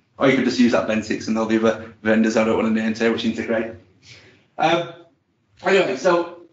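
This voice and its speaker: A man talks very fast, with audible room echo. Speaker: IT presenter at user group. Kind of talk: technical presentation with demo.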